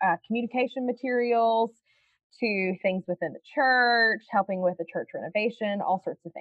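A woman speaks in a Southern US accent with an energetic, warm tone. Her pace is moderate and her pitch variation ordinary. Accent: Southern US twang, noticeable. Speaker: foster parent and foster care advocate. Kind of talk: podcast interview, conversational.

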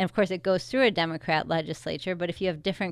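Against a silent background in a very clean recording, a woman with a Chicago-area accent speaks very fast, her fairly low pitch showing ordinary variation. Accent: Chicago-area Midwestern American. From US Midwest, Chicago suburbs (Wheaton, Illinois). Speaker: political candidate. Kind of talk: radio interview.

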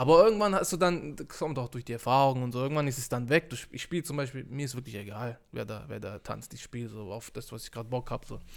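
Pauses are hardly there at all. A man rushes through his words at a very fast speed. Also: medium pitch for a man, lively intonation, big swings in loudness, very clean recording, silent background. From Stuttgart area, Swabia. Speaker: DJ. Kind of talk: casual chat. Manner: mumbling, indistinct.

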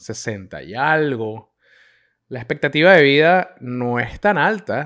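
On a very clean recording with a silent background, a man speaks at a fairly high pitch and a very slow pace. His intonation is lively, and his loudness swings widely. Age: 30s. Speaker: podcaster. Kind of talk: casual monologue.

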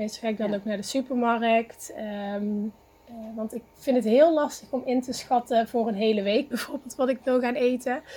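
A woman's high-pitched voice at a moderate pace. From Netherlands, Eindhoven. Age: 30s. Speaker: teacher and graphic designer. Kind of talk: podcast interview. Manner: hesitant, many fillers.

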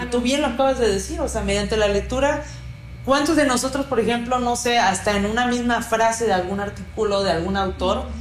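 A woman speaks at a fairly quick pace in a fairly high pitch, with ordinary pitch variation and very even loudness. Audible room echo and noticeable background noise fill the recording. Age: 20s. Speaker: podcast host. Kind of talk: casual interview. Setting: studio, also live on Instagram.

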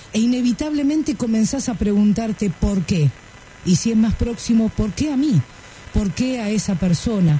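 Somewhat breathy and fairly high in pitch, a woman speaks at a moderate pace with lively intonation. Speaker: radio host. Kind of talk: radio talk show.

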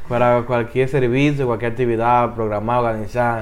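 A man talks in a monotone, flat way. His voice carries audible room echo. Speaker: youth ministry podcast host. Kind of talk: interview.

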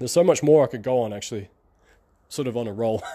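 A man's upbeat voice with lively intonation at a very fast pace. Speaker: online marketing podcaster. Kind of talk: solo podcast monologue. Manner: casual, upbeat.

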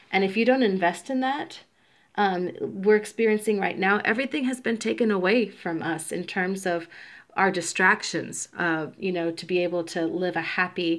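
A woman speaks at a medium pitch and a moderate pace, with ordinary pitch variation. It's an ordinary speaking voice, set against a quiet background. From US South, Georgia (born in Puerto Rico). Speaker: podcast co-host. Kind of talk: casual chat. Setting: at home.

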